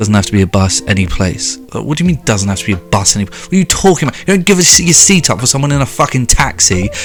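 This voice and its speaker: Very fast and with hardly any pauses, the speech comes in a British accent. The pitch swings very widely while music plays in the background. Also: man. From Britain. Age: 20s. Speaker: YouTuber reacting to social media posts. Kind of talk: comedic reaction rant. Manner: animated.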